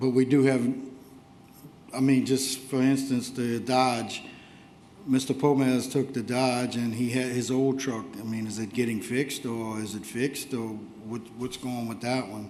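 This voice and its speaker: Quiet and monotone, with flat intonation, a man speaks at a medium pitch and a fairly slow pace. Audible room echo and noticeable background noise are present. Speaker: council member. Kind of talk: council meeting discussion. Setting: council chambers. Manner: too quiet for the room.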